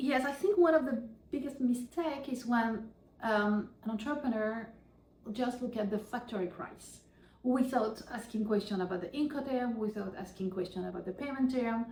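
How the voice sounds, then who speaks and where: Speaking with a French accent at a fairly high pitch, a woman uses ordinary pitch variation over noticeable background noise. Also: moderate pace. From France. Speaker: professor and author. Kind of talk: interview.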